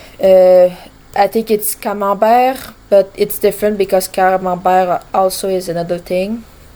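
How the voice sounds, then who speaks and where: This woman, with a French accent, talks at a fairly slow pace with a medium pitch, a dark, mellow tone and monotone, flat intonation. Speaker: gaming vlogger. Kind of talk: casual chat. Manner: halting.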